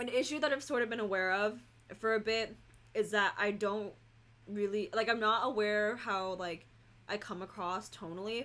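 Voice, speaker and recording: A woman with an American accent talks at a fairly high pitch, her tone bright and sharp. Her intonation stays fairly even. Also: moderate pace. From California. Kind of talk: casual chat. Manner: comes across as bitchy in tone; heavy filler words.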